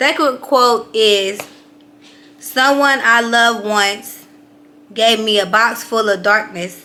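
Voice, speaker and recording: A woman speaks very slowly in a fairly high voice with ordinary pitch variation. Noticeable background noise runs underneath. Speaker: life coach. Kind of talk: motivational talk to camera. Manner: casual, filler-heavy.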